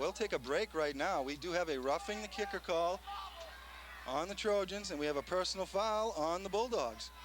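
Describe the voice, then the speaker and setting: Speaking at a moderate pace with an American accent, a man with a high pitch shows ordinary pitch variation over noticeable background noise. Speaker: football play-by-play commentator. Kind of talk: live commentary. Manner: animated; loud.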